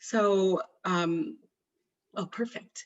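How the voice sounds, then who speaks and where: The speaker is a woman. Her delivery has a somewhat breathy quality. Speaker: physician researcher. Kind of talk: webinar presentation.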